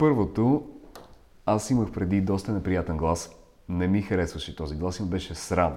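A very deep, low male voice with a Russian accent, lively intonation and a moderate pace. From Ukraine. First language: Russian (speaking Bulgarian). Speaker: voice coach. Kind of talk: interview.

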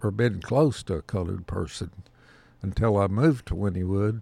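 Speaking with a rural Oklahoma accent, a man talks at a fairly low pitch. The recording is very clean, with a silent background. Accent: Oklahoma rural Southern plains drawl. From Oklahoma, US. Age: 70s. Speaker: Vietnam-era army veteran, retired. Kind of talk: elder life story, folksy reminiscing interview. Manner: slow, rambling, halting with fillers.

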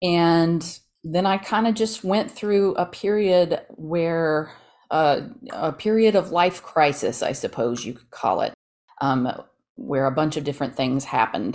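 With an American accent, a woman speaks in a plain, everyday voice at a fairly low pitch. Her intonation is lively, and her loudness swings widely. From Texas, Dallas. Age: 40s. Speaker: novelist. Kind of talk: interview.

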